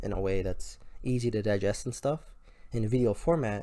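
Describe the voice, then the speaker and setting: A man speaks in a mumbling way. His pitch is medium. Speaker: gaming video creator. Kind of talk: gameplay tutorial commentary. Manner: stuttering, mumbling; casual, rambling with fillers.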